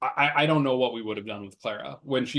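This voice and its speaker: Speaking very fast with a Midwestern US accent, a man with a medium pitch and ordinary pitch variation is heard against a quiet background. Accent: US Midwest. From Nebraska, Omaha. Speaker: political candidate, lawyer. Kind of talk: interview.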